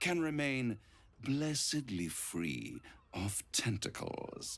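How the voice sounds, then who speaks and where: Very slowly, a man performs a put-on character voice with a theatrical tone. His pitch swings very widely. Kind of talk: video game voice acting. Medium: video game. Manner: silky, theatrical, condescending.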